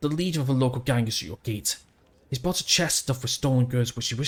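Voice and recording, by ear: Pitch rises and falls in an ordinary way as a text is read aloud in a natural voice.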